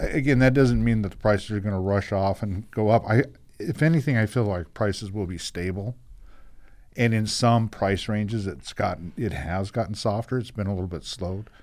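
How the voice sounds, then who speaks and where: Speaking in a normal speaking voice, a man talks at a fairly quick pace and fairly low pitch with ordinary pitch variation on a very clean recording with a silent background. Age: 60s. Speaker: real estate broker. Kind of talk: radio talk show interview.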